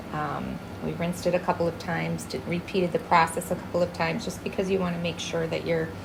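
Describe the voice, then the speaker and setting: Noticeable background noise sits under this recording. A soft-spoken woman talks at a very fast pace. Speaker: chameleon breeder. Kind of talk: tutorial. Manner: casual.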